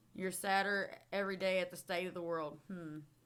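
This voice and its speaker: A woman speaks with a Southern US accent. Her tone is bright, sharp and animated. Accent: Southern drawl. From Texas. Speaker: streamer and podcast host. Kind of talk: casual chat. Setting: live stream.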